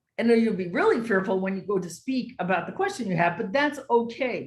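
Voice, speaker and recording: With an American accent, a woman talks in a somewhat breathy voice and lively intonation. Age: 60s. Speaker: educator and social entrepreneur. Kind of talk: motivational talk.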